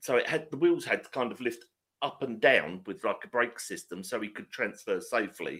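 Talking at a moderate speed, this man gets much louder and softer by turns. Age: 50s. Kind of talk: casual chat.

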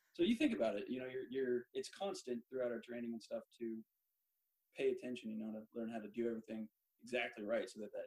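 Very fast speech from a man with an American accent comes through with a dry, close sound and no echo. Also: big swings in loudness. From Central Oregon, US. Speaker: sailing ship first mate, Navy veteran. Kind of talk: interview chat.

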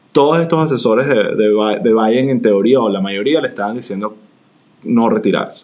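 A man talks at a moderate pace in a plain, everyday voice with ordinary pitch variation. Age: 40s. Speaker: podcast co-host. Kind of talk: casual conversational discussion.

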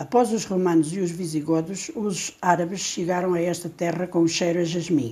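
The speaker's tone is dark and mellow, and somewhat breathy. Delivery comes at a moderate pace with fairly even intonation. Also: woman. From Portugal, Alentejo. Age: 60s. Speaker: storyteller. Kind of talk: reading aloud.

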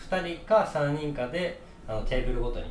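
With audible room echo and noticeable background noise, a man speaks at a moderate pace with lively intonation. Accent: Kansai. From Kansai, Japan. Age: 20s. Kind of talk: casual chat. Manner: animated, laughing.

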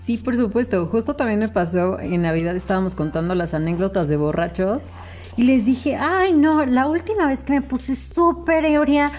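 Her pitch high, a woman talks at a fairly slow pace. Very wide pitch swings mark her speech. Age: 20s. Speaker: podcast co-host. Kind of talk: casual chat.

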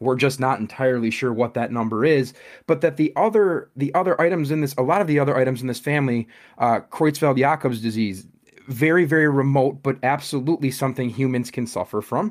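A man with an Upper Midwest accent at a fairly quick pace, on a very clean recording with a silent background. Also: medium pitch for a man, ordinary pitch variation. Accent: Upper Midwest American. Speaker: podcast host. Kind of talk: interview.

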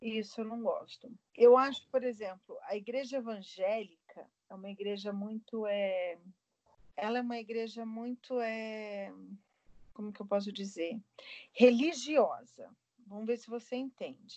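A woman's fairly high voice with big jumps in volume, ordinary pitch movement, and long, frequent pauses. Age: 40s. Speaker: aeronautical engineer and catechist. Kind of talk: casual interview chat.

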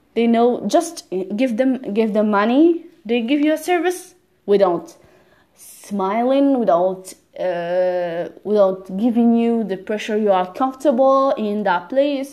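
The speaker has a non-native accent and a dark, mellow tone. The pace is very slow. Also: woman. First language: not English. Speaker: language learner podcaster. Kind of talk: personal monologue. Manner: halting, with repetitions.

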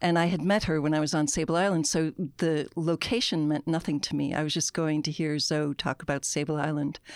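A woman with an American accent and a very deep, low pitch speaks at a fairly quick pace with hardly any pauses, fairly even intonation and very even loudness, in a very clean recording with a silent background. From United States. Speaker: author and poet. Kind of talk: interview. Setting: studio.

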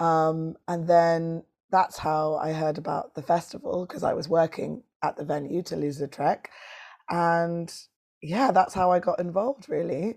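The speaker has a London accent and ordinary pitch variation at a fairly slow pace. The recording is very clean, with a silent background. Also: woman, fairly low pitch for a woman. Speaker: poet and performer. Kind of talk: casual interview chat.

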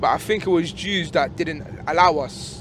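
This speaker has a London accent and talks at a moderate pace. Pitch variation is ordinary, and there is noticeable background noise. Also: man. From England. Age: 20s. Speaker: taxi passenger. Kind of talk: casual chat. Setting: in a car.

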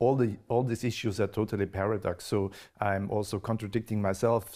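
With an Austrian accent, a man speaks at a medium pitch and a moderate pace with fairly even intonation. The recording is very clean, with a silent background. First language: German. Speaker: podcast host and event moderator. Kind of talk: interview. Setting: live event with audience. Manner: halting.

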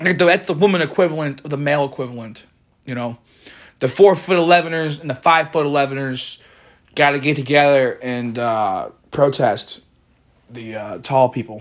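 An ordinary speaking voice from a man, fairly high in pitch with ordinary pitch variation, moderate pace and big swings in loudness. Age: 20s. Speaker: podcaster. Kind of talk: casual solo monologue.

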